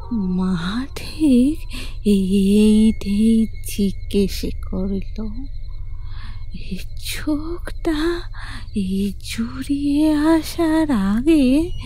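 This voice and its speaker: Over clear background noise, a woman puts on a shaky, high-pitched character voice and speaks at a very slow pace. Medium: audio drama. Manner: halting, rambling, affectionate.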